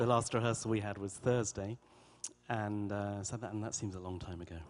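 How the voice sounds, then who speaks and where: With an English accent, a man speaks at a fairly quick pace in a fairly low pitch and a monotone, flat intonation. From England. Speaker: orchestra conductor. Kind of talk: interview. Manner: articulate, measured.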